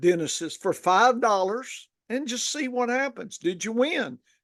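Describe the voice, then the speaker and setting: This voice has a Southern accent and a fairly slow pace. The background is quiet. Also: man. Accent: Southern, Texas-like drawl. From northern Louisiana. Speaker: fantasy football podcast host. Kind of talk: casual podcast chat. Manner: halting, with many fillers.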